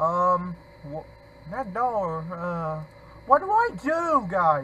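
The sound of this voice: Speaking at a very slow pace, a man uses a high pitch with big pitch swings and a bright, sharp tone.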